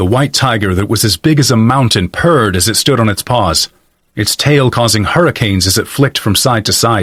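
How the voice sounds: This is a natural reading voice set against a quiet background.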